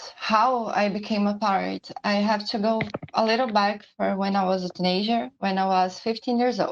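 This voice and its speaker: Speaking with a Portuguese accent, a woman uses a medium pitch and ordinary pitch variation. Her pace is moderate and her loudness very even. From Brazil. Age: 20s. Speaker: pirate community leader. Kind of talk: personal testimony presentation. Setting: live-streamed online symposium.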